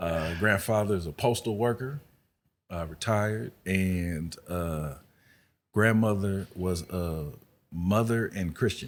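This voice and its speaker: A man speaks at a very slow pace in a very deep, low pitch with ordinary pitch variation. The recording is very clean, with a silent background. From Los Angeles east side, US West Coast. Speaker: podcast guest sharing life story. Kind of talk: casual chat.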